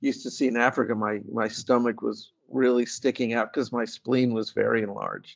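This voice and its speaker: A man talks at a fairly quick pace. He leaves hardly any pauses. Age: 60s. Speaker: patient advocate and artist. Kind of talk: interview, casual conversational.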